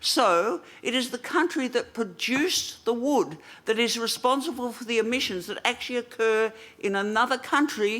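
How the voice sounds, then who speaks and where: In an Australian accent, a woman talks at a moderate pace with a fairly high pitch and lively intonation. The recording is very clean, with a silent background. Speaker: environmental policy coordinator and press conference moderator. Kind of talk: press conference answer. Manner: hesitant with fillers.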